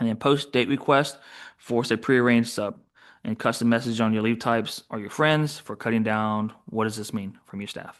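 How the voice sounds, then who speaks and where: A man's medium-pitched voice with ordinary pitch variation over a quiet background. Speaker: software trainer. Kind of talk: webinar tutorial. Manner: fast; halting, many fillers.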